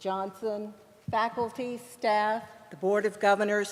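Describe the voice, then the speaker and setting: A woman speaks at a fairly slow pace with an American accent and monotone, flat intonation. Noticeable background noise sits behind her. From US South, Japanese American. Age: 70s. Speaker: award recipient, journalist and media coach. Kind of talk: award acceptance speech.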